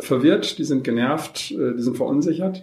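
At a moderate pace, a man talks in a plain, everyday voice that sits fairly high in pitch. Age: 50s. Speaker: social welfare organisation manager. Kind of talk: interview. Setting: on location, not in a studio.

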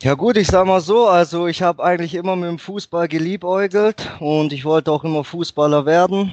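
With ordinary pitch variation and a moderate pace, a man speaks in an unremarkable speaking voice. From Germany. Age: 20s. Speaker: football player and club office manager. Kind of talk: podcast interview. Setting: Skype call.

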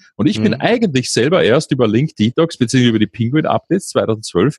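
With a Viennese accent, a man speaks at medium pitch in a dry, close sound with no echo. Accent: Viennese Austrian German. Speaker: podcast host, software company founder. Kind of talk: interview.

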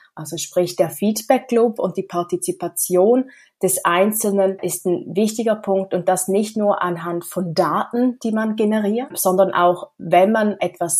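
Recorded very cleanly against a silent background, a woman with an ordinary speaking voice talks at a fairly slow pace with hardly any pauses, medium pitch and ordinary pitch variation. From Switzerland. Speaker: smart city association co-president. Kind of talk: interview.

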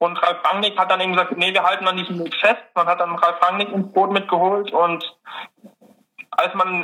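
The speaker is a man. His pitch is high. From Dresden, Saxony, Germany. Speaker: student, quiz contestant. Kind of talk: casual chat.

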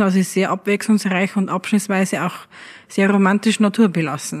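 A woman has an unremarkable speaking voice at medium pitch, with fairly even intonation. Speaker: innkeeper. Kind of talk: interview.

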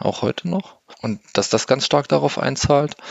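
A man is speaking. His pace is moderate. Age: 40s. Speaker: parenting blogger. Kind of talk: interview. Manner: hesitant, many filler sounds.

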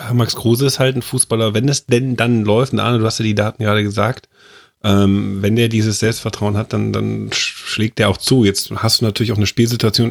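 Recorded dry and close with no echo, a man speaks in a flat monotone at very even loudness. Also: medium pitch for a man, fairly quick pace. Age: 30s. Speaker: football pundit. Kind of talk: casual football discussion.

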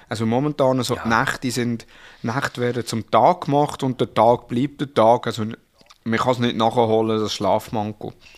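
A man with a Swiss accent talks at a moderate pace with fairly even intonation. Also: medium pitch for a man. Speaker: podcast co-host, father. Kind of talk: casual chat.

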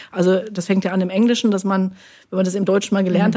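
Dark, mellow, somewhat breathy tone with monotone, flat intonation. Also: woman. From Germany, Hesse. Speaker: linguistics professor. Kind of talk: casual chat. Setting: studio.

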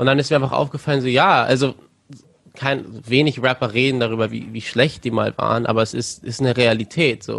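Using vocal fry, a man talks at a fairly quick pace with medium pitch and fairly even intonation. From Germany, Lüneburg (Lower Saxony). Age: 20s. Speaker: rapper. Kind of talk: interview.

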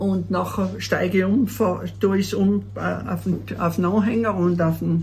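A woman at a fairly slow pace, very even in loudness, with audible room echo and noticeable background noise. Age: 70s. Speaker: mountain hut keeper. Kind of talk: casual interview. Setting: mountain hut.

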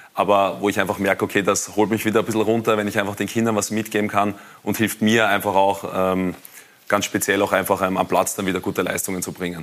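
A man talks at a very fast pace. His pitch is fairly low and his intonation monotone and flat. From Austria, Wiener Neustadt district. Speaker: professional goalkeeper. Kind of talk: TV studio talk interview. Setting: TV studio.

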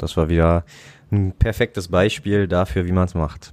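A man with a very deep, low voice speaks at a moderate pace. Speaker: football fan podcast co-host. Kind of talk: casual chat.

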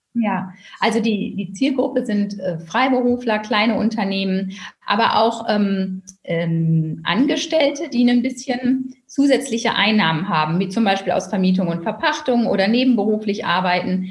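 A woman speaks in a fairly high voice with lively intonation. Noticeable background noise and audible room echo surround her. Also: moderate pace. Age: 40s. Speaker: tax advisor and first-time author. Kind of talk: interview.

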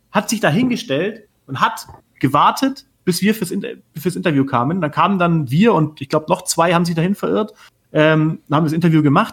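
Speaking with lively intonation at a moderate pace, a man has a high pitch. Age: 30s. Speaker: TV sports journalist. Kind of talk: casual chat.

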